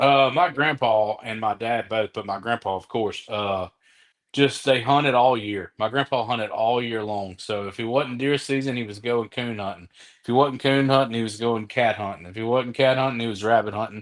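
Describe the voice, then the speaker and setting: Over a quiet background, a man speaks with an Alabama accent at a medium pitch. His pace is moderate and his intonation fairly even. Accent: US Southern, Alabama. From Mobile, Alabama. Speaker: comedian. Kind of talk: casual chat.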